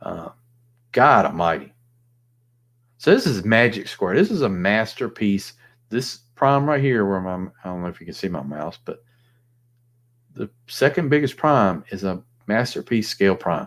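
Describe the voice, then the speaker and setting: In a very clean recording with a silent background, a man with a Southern US accent talks at a moderate pace and fairly low pitch, leaving long, frequent pauses as his loudness swings widely. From US South. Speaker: toy collector livestreamer. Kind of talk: casual livestream chat. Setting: live stream, alone at night.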